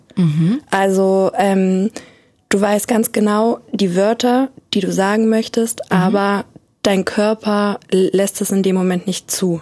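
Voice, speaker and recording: At a very slow pace, a woman speaks at a medium pitch in a dark, mellow tone, with fairly even intonation and very even loudness. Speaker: person who stutters. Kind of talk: interview testimony.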